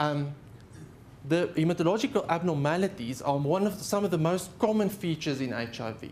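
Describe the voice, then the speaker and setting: A man with a South African accent and a high pitch speaks at a fairly quick pace with very wide pitch swings. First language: Afrikaans. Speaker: haematologist. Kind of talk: lecture. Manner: halting.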